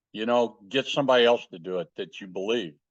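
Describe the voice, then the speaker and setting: This man has a normal speaking voice with an American accent. His pitch is medium and his intonation lively. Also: quiet background. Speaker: war veteran. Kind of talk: interview answer.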